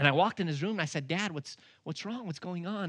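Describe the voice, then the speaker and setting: A man speaks with an American accent in a bright, sharp, animated tone. The intonation is lively, and the sound is dry and close with no echo. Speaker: evangelist and ministry president. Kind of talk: sermon. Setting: church stage with audience. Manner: humorous, animated.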